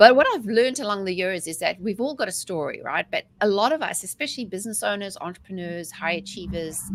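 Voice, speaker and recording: With a South African accent, a woman talks at a very fast pace and medium pitch, with lively intonation and hardly any pauses. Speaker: mindset coach. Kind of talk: interview. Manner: talkative.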